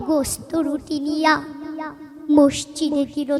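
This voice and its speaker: A woman's voice over noticeable background noise. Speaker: poetry reciter. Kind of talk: poetry reading. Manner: emotional, expressive.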